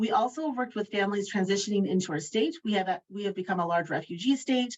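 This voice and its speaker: Speaking fairly quickly, a woman uses a medium pitch with ordinary pitch variation. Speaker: state education family engagement lead, panelist. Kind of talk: webinar panel presentation. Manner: fast; enthusiastic, animated.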